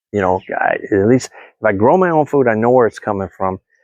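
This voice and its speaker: A man at a fairly low pitch and fairly quick pace, with a dry, close sound with no echo and a quiet background. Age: 50s. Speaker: gardening vlogger. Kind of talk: casual chat. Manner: halting.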